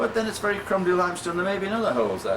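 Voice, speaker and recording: Very fast speech comes from a man in a room with audible echo. Noticeable background noise is present. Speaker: volunteer tour guide. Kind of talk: guided tour talk. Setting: outdoors.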